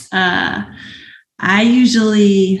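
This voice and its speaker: Her voice is somewhat breathy, and the woman speaks at a medium pitch. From Arkansas, US South (Springdale). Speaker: professional hurdler. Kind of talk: casual interview.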